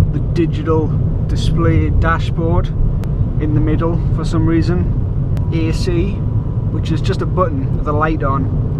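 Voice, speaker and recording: Loud background noise sits behind a man speaking at a moderate pace. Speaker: driver vlogger. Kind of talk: casual vlog chat. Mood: sarcastic, swearing, joking. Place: car. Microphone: camera far.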